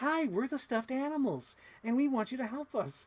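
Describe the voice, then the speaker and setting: On a very clean recording with a silent background, a man does a put-on character voice at an extremely high pitch and a fairly quick pace. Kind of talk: generic, bland.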